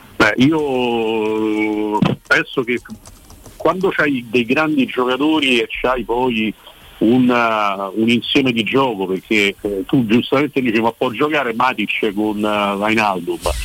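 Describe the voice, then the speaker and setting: This man speaks at a very slow pace. His pitch sits in the medium range. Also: ordinary pitch variation. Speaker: football journalist. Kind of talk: casual chat. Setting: phone call.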